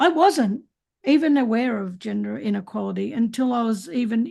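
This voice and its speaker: A woman with an Australian accent, fairly high in pitch, dark and mellow in tone, at a moderate pace against a quiet background. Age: 60s. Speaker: podcast host. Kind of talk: casual chat. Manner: halting.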